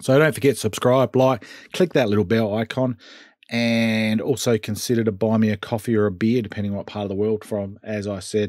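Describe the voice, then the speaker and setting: A man with a normal speaking voice, fairly low pitch, fairly even intonation and a fairly quick pace over a quiet background. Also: dry sound with no echo. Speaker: hobby channel host. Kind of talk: tutorial. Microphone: webcam.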